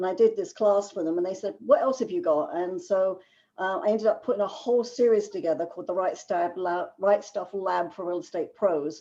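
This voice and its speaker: Over a quiet background, a woman with a London accent talks at a fairly quick pace with hardly any pauses, her tone dark and mellow. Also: medium pitch for a woman, lively intonation. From England, London. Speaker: business writing consultant. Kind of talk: webinar lecture. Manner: fast.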